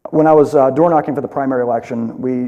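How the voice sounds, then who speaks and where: His tone dark and mellow, a man speaks very fast at a medium pitch with ordinary pitch variation. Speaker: political candidate. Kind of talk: candidate forum answers.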